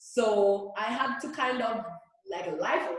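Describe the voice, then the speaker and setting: Audible room echo follows a woman as she talks. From Jamaica. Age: 30s. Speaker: reggae singer. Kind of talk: interview.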